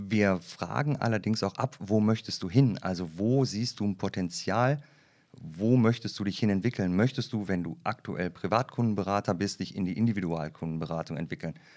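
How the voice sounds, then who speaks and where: A man with a plain, everyday voice speaks at a moderate pace and fairly low pitch, with ordinary pitch variation, on a very clean recording with a silent background. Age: 40s. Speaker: HR development manager at a bank. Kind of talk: casual interview.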